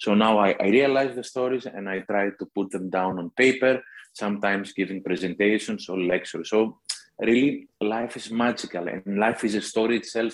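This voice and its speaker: A man with a Greek accent, fairly low in pitch, at a moderate pace with fairly even intonation. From Greece. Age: 50s. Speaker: author. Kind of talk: interview.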